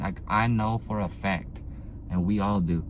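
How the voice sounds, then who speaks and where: Over audible room echo, a man speaks with a very deep, low pitch and ordinary pitch variation. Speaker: automotive YouTuber. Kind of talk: casual vlog monologue. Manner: halting, filler-heavy.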